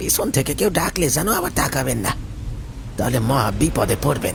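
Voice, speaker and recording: Amid loud background noise, a man puts on a character voice at medium pitch and a moderate pace. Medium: read story. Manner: humble and polite at first, later menacing.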